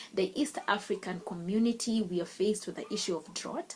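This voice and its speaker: The woman's voice sits at a medium pitch, somewhat breathy. She keeps a moderate pace. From Kenya. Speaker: youth advocate and lawyer, panelist. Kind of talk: conference talk.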